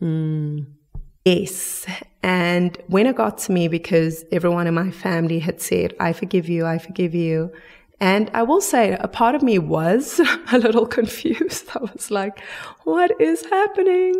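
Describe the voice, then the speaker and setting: Delivered at a fairly slow pace, the speech has lively intonation. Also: woman, medium pitch for a woman. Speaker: forgiveness advocate. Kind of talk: interview answer.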